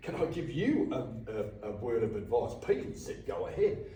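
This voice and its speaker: A man with an Australian accent talks at a fairly slow pace. The recording has audible room echo and noticeable background noise. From Victoria, Australia. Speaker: boxing coach. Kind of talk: casual interview. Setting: boxing gym. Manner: animated.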